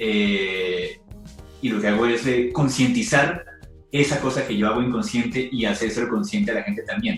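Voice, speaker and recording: Music plays in the background. A man with a Colombian accent speaks with very wide pitch swings. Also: medium pitch for a man, moderate pace. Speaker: stand-up comedian. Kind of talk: podcast interview answer.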